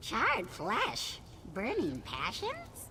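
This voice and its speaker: Loud background noise under a put-on character voice. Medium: machinima.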